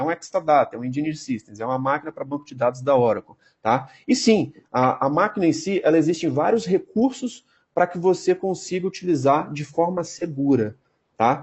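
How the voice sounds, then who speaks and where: With lively intonation, a man speaks in a fairly high pitch. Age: 30s. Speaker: database technology specialist. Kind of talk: interview. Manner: fast. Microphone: unstable connection.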